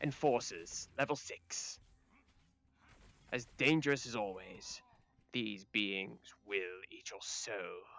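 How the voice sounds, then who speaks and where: A raspy man at medium pitch speaks at a very slow pace, leaving long, frequent pauses. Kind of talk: dramatic fantasy narration. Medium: game stream. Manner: ominous, grandiose.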